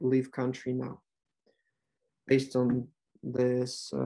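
Speaking very slowly, a man with a Ukrainian accent uses a medium-pitched voice. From western Ukraine. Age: 20s. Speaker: language tutor. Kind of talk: interview. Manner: halting.

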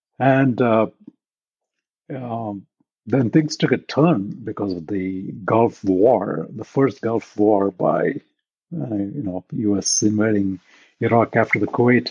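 Speaking with an Indian accent, the man keeps ordinary pitch variation. His pace is very slow. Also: medium pitch for a man. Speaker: technology executive. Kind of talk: interview.

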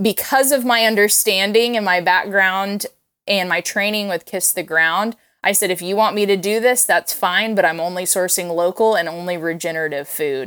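Here is a woman with an American accent and an ordinary speaking voice at a medium pitch. She talks at a moderate pace with ordinary pitch variation. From Oklahoma, Tulsa. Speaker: geriatric food advocate, gerontologist. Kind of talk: interview.

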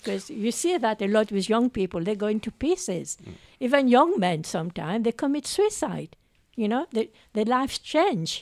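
Fairly high in pitch, a woman's voice swings very widely, with a dry, close sound with no echo on a very clean recording with a silent background. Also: moderate pace. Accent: French. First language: French. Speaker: nurse. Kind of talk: casual group discussion.

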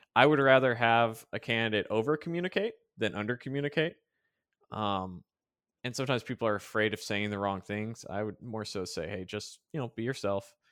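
Here is an ordinary speaking voice: a man at medium pitch, moving at a fairly quick pace with ordinary pitch variation. The recording is very clean, with a silent background. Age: 30s. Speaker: podcast co-host, software engineer. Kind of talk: casual chat.

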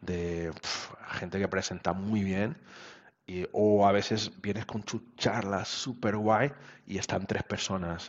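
A man talks with fairly even intonation. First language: Portuguese (speaking Spanish). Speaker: web developer. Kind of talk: interview. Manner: halting.

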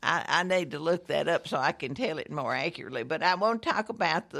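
In a Southern US accent, a woman speaks with lively intonation at a medium pitch, captured in a very clean recording with a silent background. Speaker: local history guest. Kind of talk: casual chat.

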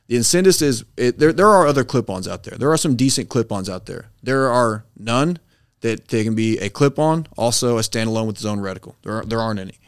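On a very clean recording with a silent background, a man with a Texan accent speaks fairly quickly at a medium pitch with ordinary pitch variation. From US, Texas (northeast of Dallas). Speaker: business owner, veteran. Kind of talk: casual interview.

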